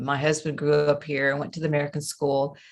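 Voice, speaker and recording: A woman with a slight Southern US accent speaks in a very deep, low voice on a very clean recording with a silent background. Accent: slight Southern US twang. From US South, Memphis, Tennessee. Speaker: coach and trainer. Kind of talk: interview.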